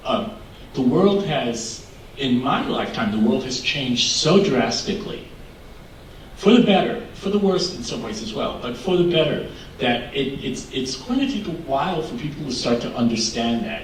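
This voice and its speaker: Very wide pitch swings mark this moderately paced speech, heard with audible room echo and noticeable background noise. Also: man, fairly high pitch for a man. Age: 60s. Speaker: LGBTQ activist panelist. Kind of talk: panel discussion.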